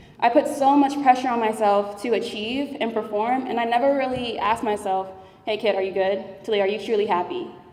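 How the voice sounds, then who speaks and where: Spoken at a fairly quick pace with ordinary pitch variation, the clip carries audible room echo and noticeable background noise. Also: woman, fairly high pitch for a woman. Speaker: engineering student, award winner. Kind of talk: award speech. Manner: conversational, with fillers.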